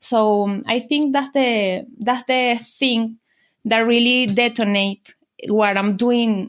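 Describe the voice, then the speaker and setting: In a Spanish accent, a woman speaks at a very slow pace with a fairly high pitch. The recording is very clean, with a silent background. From Venezuela. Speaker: business mentor. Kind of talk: interview. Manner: halting.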